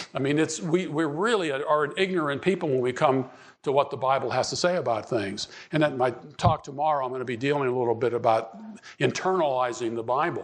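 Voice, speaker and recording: Audible room echo surrounds a man talking at a fairly quick pace, his pitch fairly high with ordinary variation. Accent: American. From Pittsburgh, Pennsylvania. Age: 70s. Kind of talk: conference talk. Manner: halting, many repetitions and fillers.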